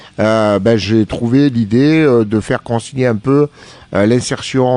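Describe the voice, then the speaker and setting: Speaking at a fairly slow pace, a man has a medium pitch and a dark, mellow tone in a dry, close sound with no echo. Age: 50s. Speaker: business founder, wheelchair user. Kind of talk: radio interview. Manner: hesitant, many fillers.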